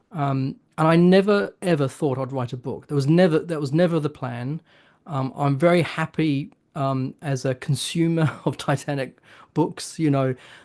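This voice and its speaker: A man talks with a New Zealand accent. His pace is moderate. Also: fairly high pitch for a man, ordinary pitch variation, quiet background. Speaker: author. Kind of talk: interview. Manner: halting, with many fillers.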